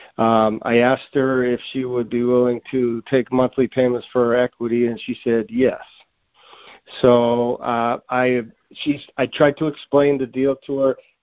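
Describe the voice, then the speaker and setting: An American accent from a man at medium pitch, monotone and flat, at a fairly slow pace. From US Northeast. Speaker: caller. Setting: phone call.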